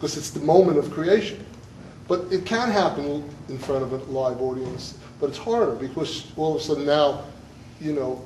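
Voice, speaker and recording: A man speaks with a Brooklyn accent at a fairly high pitch. Audible room echo is present. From New York (Brooklyn). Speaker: musician. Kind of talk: audience Q&A. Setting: stage with audience. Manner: halting.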